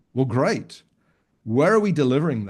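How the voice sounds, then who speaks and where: A man with a fairly high pitch speaks in a British accent against a quiet background. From United Kingdom. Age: 60s. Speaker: financial advisor coach. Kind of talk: podcast interview. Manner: halting, with repeated words.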